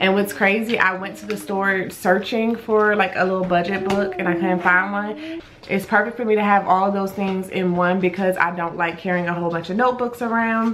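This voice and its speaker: A woman speaks in a medium pitch with fairly even intonation. Noticeable background noise and audible room echo are present. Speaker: vlogger. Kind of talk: casual vlog. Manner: quiet, lowered voice.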